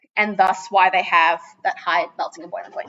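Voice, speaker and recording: Talking at a fairly quick pace, a woman uses an unremarkable speaking voice with ordinary pitch variation. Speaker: teacher. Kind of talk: lecture. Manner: casual.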